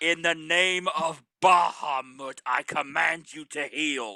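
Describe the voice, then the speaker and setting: Using a booming, put-on character voice, a man talks fairly slowly at a fairly high pitch. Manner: booming, commanding.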